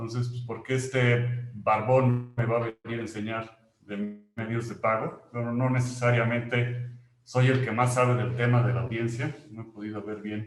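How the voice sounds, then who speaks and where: A man with a Mexican accent speaks at medium pitch and a fairly slow pace, somewhat breathy, in monotone, flat intonation. Audible room echo fills the recording. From Mexico. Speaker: company employee presenting a webinar. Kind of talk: webinar presentation. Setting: online webinar.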